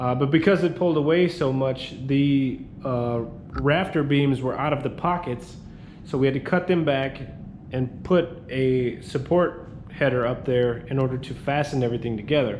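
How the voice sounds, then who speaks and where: Audible room echo colors this man's voice. He keeps a moderate pace and ordinary pitch variation. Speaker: handyman business owner. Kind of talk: tutorial. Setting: on site in a building under renovation. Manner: halting, many fillers.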